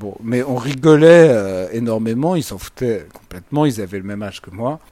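A man speaks at a fairly slow pace with ordinary pitch variation. His tone is dark and mellow. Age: 30s. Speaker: lawyer and political commentator. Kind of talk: interview.

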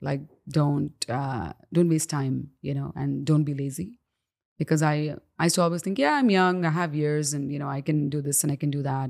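A woman's very deep, low voice at a moderate pace, fairly even in intonation, in a very clean recording with a silent background. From Dubai, raised as Indian expat, moved to Canada as a teen. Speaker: singer. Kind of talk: interview conversation. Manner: frequent fillers and hesitations.

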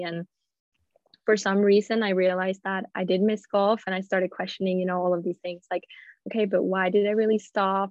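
With a Swedish accent, a woman talks at a fairly quick pace. Her pitch is medium. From Sweden, Gothenburg. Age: 20s. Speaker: professional golfer. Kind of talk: casual interview.

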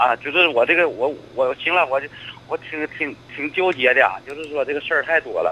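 There is noticeable background noise as a man talks with a fairly high pitch. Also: fairly even intonation. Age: 60s. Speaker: retired civil servant. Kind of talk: phone-in call. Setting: phone call. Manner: stammering.

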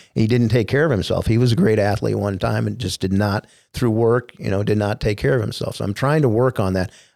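A man with an American accent talks at a fairly quick pace in a fairly low pitch with ordinary pitch variation, a plain, everyday voice, on a very clean recording with a silent background. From US Midwest, finished in Indianapolis. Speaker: former TV sports anchor. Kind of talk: casual interview.

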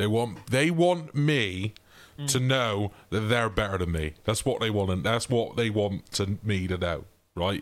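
Here a man uses a normal speaking voice at a fairly low pitch, with lively intonation. He speaks at a fairly slow pace, and his loudness stays very even. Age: 30s. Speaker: podcast co-host. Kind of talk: casual chat. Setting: remote recording.

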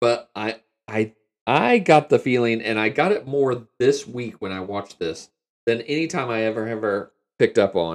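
Using a normal speaking voice, a man talks at medium pitch and a moderate pace with ordinary pitch variation. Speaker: podcast host. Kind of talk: casual banter. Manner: joking, irreverent.

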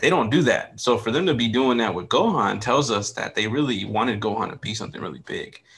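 This man has a normal speaking voice at medium pitch. He talks at a fairly quick pace with ordinary pitch variation. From United States. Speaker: podcast co-host. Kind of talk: casual chat.

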